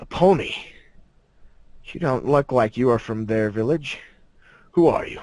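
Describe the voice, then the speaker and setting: A man uses a put-on character voice at a medium pitch. He talks at a moderate pace with long, frequent pauses. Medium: read story. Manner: slow, grave.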